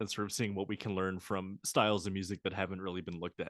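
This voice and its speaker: A man with a Maryland accent talks at a fairly quick pace and a fairly low pitch. The sound is dry and close with no echo, over a quiet background. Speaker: podcast host, musicology graduate student. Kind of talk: casual chat.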